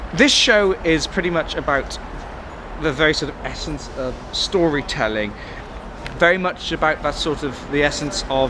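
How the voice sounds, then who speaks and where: A man speaks at a fairly high pitch with ordinary pitch variation. Noticeable background noise is present. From West Wales. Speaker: theatre reviewer. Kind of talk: casual spoken review. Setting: outdoors on a train station platform. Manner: hesitant, many fillers and restarts.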